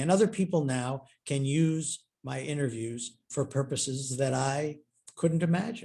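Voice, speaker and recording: The voice has a dark, mellow tone, somewhat breathy, with ordinary pitch variation. The background is quiet. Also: man. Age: 70s. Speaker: historian and author. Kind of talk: Q&A at online author talk.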